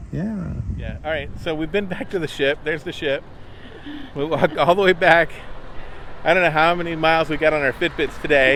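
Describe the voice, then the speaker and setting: Over noticeable background noise, a man with a fairly high pitch and fairly even intonation talks at a fairly quick pace, broken by long, frequent pauses. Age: old. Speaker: travel vlogger. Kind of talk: casual chat. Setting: outdoors.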